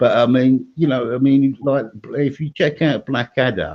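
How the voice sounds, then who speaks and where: Here a man speaks with an English accent. He keeps a moderate pace. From England. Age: 60s. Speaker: stream participant. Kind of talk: casual chat. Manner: halting.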